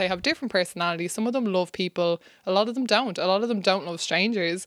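This very clean recording has a silent background. A woman talks at a very fast pace with ordinary pitch variation. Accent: Irish. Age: 20s. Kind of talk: casual chat.

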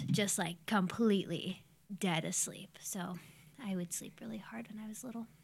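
The speaker has an ordinary speaking voice and an American accent, at a moderate pace with ordinary pitch variation. The recording is very clean, with a silent background. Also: woman. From Ohio, Youngstown. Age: 20s. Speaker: podcast guest. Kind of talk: casual chat.

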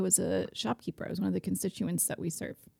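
Speaking at a very fast pace, a woman with an American accent has a cheerful tone and vocal fry. The sound is dry and close, with no echo. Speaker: market executive director. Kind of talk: casual chat. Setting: studio. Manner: cheerful, laughs often.

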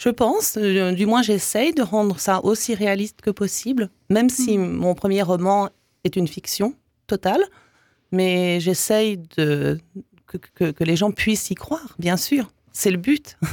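A woman speaks at a very slow pace in a medium pitch, with ordinary pitch variation and very even loudness. The recording is very clean with a silent background, dry and close with no echo. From Canada (English Canada and Quebec). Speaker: author. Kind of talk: interview.

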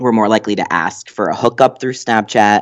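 Over a quiet background, a man speaks at a medium pitch in an ordinary speaking voice. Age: 20s. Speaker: doctoral student in psychology. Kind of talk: casual interview.

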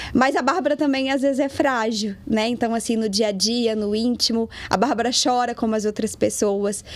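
Pitched fairly high, a woman talks at a moderate pace with ordinary pitch variation. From Brazil, Minas Gerais (Lagoa Santa). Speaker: digital influencer. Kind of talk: casual chat.

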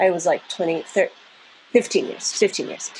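Noticeable background noise accompanies a woman talking in an American accent. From US, New Jersey. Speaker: avant-garde vocalist and composer. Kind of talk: casual chat.

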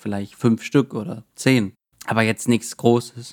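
Medium-pitched man, monotone and flat in intonation, in a dry, close sound with no echo. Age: 20s. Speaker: self-publisher and IT consultant. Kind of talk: casual interview.

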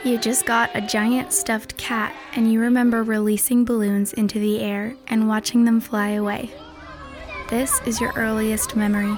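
A woman with a fairly high pitch speaks in a deadpan tone at a moderate pace over noticeable background noise. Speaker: narrator. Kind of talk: horror narration, second-person scripted story read aloud. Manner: measured, hushed, ominous; deadpan, clipped, building dread.

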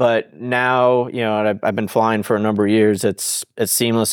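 A man with an American accent and a normal speaking voice talks at a moderate pace and fairly low pitch. Intonation stays fairly even in a very clean recording with a silent background. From US South, South Florida. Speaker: fighter test pilot. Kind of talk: interview.

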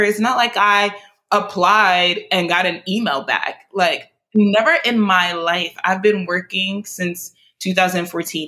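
A woman with an American accent speaks in a bright, sharp tone. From New York City (Brooklyn and Queens), Nigerian parents. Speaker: media marketing professional and nonprofit founder. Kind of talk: interview.

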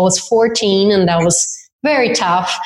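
A woman's medium-pitched voice with a Brazilian accent and fairly even intonation. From southern Brazil. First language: Portuguese. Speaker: dance instructor and event organizer. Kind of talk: interview. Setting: remote call.

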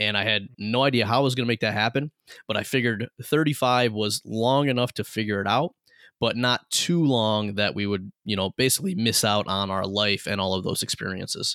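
A man speaks at a fairly quick pace in a bright, sharp tone. His pitch varies in an ordinary way, on a very clean recording with a silent background. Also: medium pitch for a man, dry, close sound with no echo. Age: 30s. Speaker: entrepreneur and business coach. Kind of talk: interview.

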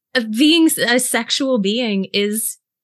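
A woman with an American accent speaks in a fairly high pitch, her tone bright and sharp. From US South, South Carolina (Greenville). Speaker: intimacy and pleasure coach. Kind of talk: podcast interview.

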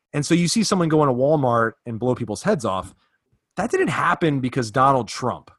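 Using an ordinary speaking voice, a man with an American accent talks at a fairly quick pace and medium pitch, with lively intonation. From US South, Virginia. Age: 30s. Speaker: fitness podcast host. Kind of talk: casual interview; promotional read.

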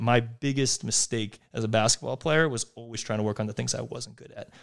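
Over a silent background on a very clean recording, a man with an American accent and an unremarkable speaking voice speaks at a fairly quick pace, medium in pitch with fairly even intonation. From US Northeast, outside Philadelphia. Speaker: venture capitalist and former basketball player. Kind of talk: casual interview.

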